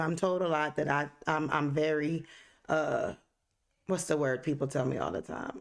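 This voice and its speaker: On a very clean recording with a silent background, a woman with a very deep, low pitch speaks in an animated tone at a moderate pace, with ordinary pitch variation. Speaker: podcast host. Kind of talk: casual chat. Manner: loud.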